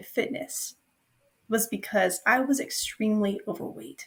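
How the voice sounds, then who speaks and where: A somewhat breathy woman with an American accent and a fairly high pitch. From US South, Nashville, Tennessee. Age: 20s. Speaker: personal trainer, business owner. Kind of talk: podcast interview.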